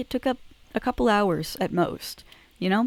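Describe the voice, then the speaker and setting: Fairly quick speech with lively intonation in a dry, close sound with no echo. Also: woman. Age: young. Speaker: vlogger. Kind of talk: casual monologue. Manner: halting, many fillers.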